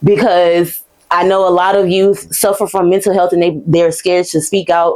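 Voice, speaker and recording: A woman with an American accent speaks at a moderate pace. Her voice is fairly low, with a dark, mellow tone. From US South, Baton Rouge, Louisiana. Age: 20s. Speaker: podcast host. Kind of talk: casual chat. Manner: stumbles over words at times.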